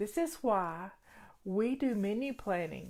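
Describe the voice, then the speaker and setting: Lively intonation marks a woman with a Southern US accent and fairly high pitch. The recording is very clean with a silent background. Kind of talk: casual, homey.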